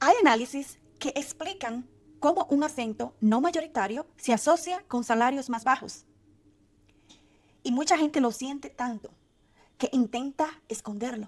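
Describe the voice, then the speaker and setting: A woman with a high pitch at a fairly slow pace, with ordinary pitch variation and long, frequent pauses. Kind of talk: motivational advice talk to camera.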